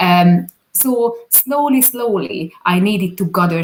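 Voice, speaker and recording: A woman speaks very slowly in a Hungarian accent at a medium pitch. Her pitch swings very widely. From Hungary. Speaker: business owner, video producer. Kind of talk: interview. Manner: halting.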